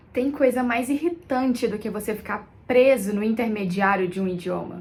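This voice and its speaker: At a moderate pace, a woman talks in a normal speaking voice, fairly high in pitch with ordinary pitch variation. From Brazil. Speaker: content creator. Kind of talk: casual vlog talk.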